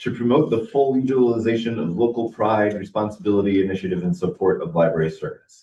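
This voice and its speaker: Somewhat breathy and dark, mellow in tone, a man speaks at a fairly low pitch. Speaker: library board trustee presenting bylaws. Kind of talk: board meeting discussion.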